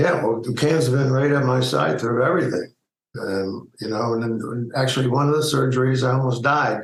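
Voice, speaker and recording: This man's voice is medium in pitch and somewhat breathy, with very even loudness. He speaks at a moderate pace with ordinary pitch variation. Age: 60s. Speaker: retired media executive. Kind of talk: interview. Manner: halting.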